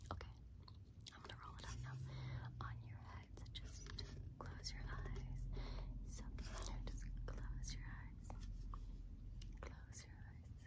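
A woman's fairly slow speech with long, frequent pauses. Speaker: ASMR creator. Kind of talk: ASMR personal attention role play. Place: home room. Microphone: phone near.

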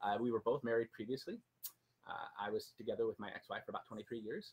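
A man talks very fast, somewhat breathy, with lively intonation. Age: 40s. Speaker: personal finance blogger. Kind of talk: casual chat. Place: garden. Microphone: camera far.

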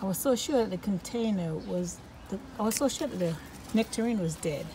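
At a moderate pace, a woman talks while noticeable background noise carries on. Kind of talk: casual vlog chat. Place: garden. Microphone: phone near.

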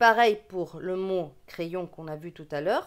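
A woman's medium-pitched voice with a regional French accent, in a very clean recording against a silent background. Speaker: reading teacher. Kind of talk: tutorial. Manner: slow.

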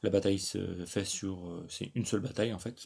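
A man speaks with a fairly low pitch and a dark, mellow tone. His intonation stays fairly even, and the recording is very clean with a silent background. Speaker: gaming YouTuber. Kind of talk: tutorial.

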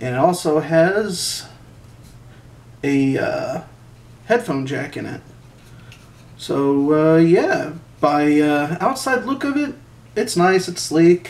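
A man talks at a high pitch and a very slow pace, with long, frequent pauses. His intonation is lively and his loudness swings widely. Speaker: product reviewer. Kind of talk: casual unboxing review. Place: home room.

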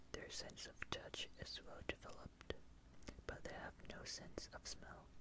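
Someone is whispering. The pace is fairly slow. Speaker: ASMR artist. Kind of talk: ASMR fact reading. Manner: whispered. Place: home room. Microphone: studio mic.

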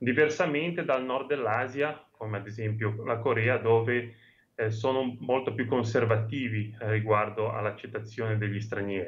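Here a man speaks at a moderate pace with a medium pitch. His voice is somewhat breathy, with ordinary pitch variation. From Genoa, Liguria. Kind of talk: interview answer. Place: home room. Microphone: video call.

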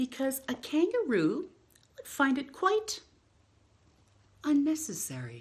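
Using a high pitch with very wide pitch swings, a woman speaks at a slow pace.

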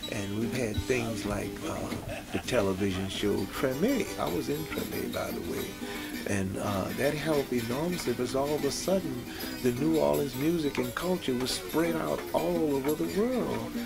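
A man at a moderate pace, with clear music playing in the background. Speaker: musician. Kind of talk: interview answer. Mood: warm, reminiscing. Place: studio.

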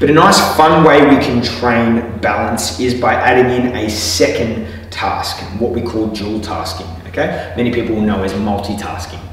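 A man at a moderate pace with ordinary pitch variation, strong room echo and light background noise. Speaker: physiotherapist instructor. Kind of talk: tutorial. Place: gym.

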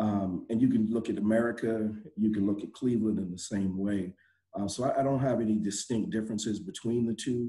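Against a quiet background, a man with a fairly low pitch talks very fast with fairly even intonation. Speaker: nonprofit community leader. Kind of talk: panel discussion. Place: home room. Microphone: video call.

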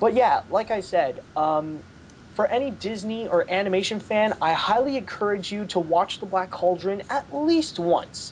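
A man with a high pitch talks at a moderate pace, his intonation lively.

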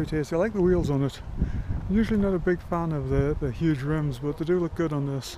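Over noticeable background noise, a man with a fairly high pitch talks at a fairly quick pace in a dry sound with no echo. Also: ordinary pitch variation. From England. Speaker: YouTuber. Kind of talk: vlog walkaround commentary. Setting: outdoors at a car show. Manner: casual, hesitant with fillers. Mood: relaxed, nostalgic. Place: open country. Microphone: phone near.

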